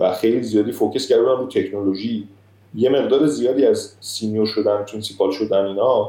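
A man talking at a fairly quick pace, his loudness very even. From Iran. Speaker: software architect. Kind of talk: casual interview.

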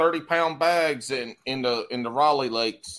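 A man in a Southern US accent, with ordinary pitch variation. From US South, South Carolina. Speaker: podcast host. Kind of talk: casual chat.

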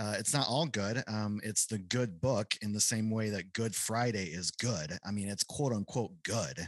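A man with an ordinary speaking voice talks at a fairly low pitch and fairly slow pace, with hardly any pauses. His pitch variation is ordinary, and the sound is dry and close with no echo. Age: 30s. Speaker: pastor. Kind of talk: casual chat.

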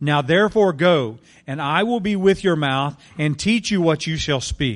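Against a quiet background, a man with an unremarkable speaking voice speaks at a fairly high pitch. He uses lively intonation at a fairly slow pace. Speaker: scripture reader. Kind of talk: reading aloud. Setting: church.

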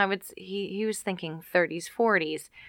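A woman speaks in an unremarkable speaking voice at a medium pitch, with ordinary pitch variation and a moderate pace. The recording is very clean and the background silent. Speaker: podcast host, mom. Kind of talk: casual chat.

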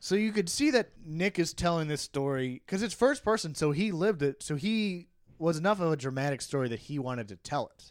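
With lively intonation and a fairly high pitch, a man speaks at a moderate pace in an ordinary speaking voice on a very clean recording with a silent background. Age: 30s. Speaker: podcast co-host discussing a novel. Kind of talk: casual chat.

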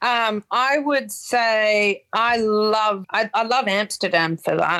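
Her accent is Australian. The voice belongs to a woman. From Perth, Western Australia. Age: 30s. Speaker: guitarist in a band. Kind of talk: casual chat.

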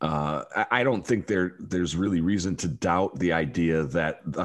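Here a man speaks with a very deep, low pitch. His pace is moderate. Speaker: podcast host and quiz-show emcee. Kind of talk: casual chat about pro wrestling.

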